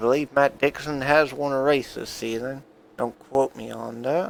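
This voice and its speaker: The speech comes at a fairly slow pace in a monotone, flat way, with a dry, close sound and no echo. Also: man. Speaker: sim racing commentator. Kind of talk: live commentary. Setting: at home, own room.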